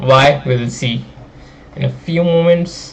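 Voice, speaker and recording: A man's fairly high-pitched voice with fairly even intonation, over noticeable background noise. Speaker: graphics programming student streamer. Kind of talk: live stream maths tutorial. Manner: casual, many fillers.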